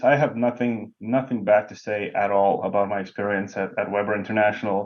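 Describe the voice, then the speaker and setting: A man with a Lithuanian accent, a medium pitch and a fairly quick pace. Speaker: bowling professional, lane technician. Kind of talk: podcast interview. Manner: frequent hesitations.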